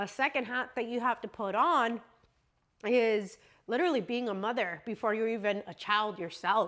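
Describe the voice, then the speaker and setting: Here a woman's voice has a bright, sharp tone. Her pitch is fairly high. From US, Mexican family. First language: Spanish. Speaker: vlogger. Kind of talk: casual chat. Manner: conversational, many fillers.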